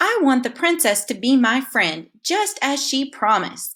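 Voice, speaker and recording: The speaker puts on a character voice. The pace is moderate. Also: woman, high pitch for a woman. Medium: read story. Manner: politely insistent.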